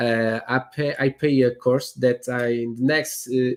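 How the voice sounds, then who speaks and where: A man with a Portuguese accent speaks very slowly. His pitch is medium and his intonation fairly even. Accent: Portuguese accent, non-native English. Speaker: real estate agent. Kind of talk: interview. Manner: halting, many fillers and repetitions.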